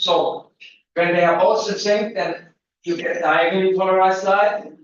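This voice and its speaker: A man with a high pitch speaks loudly and with fairly even intonation. Room echo can be heard in the recording. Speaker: physics lecturer. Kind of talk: lecture.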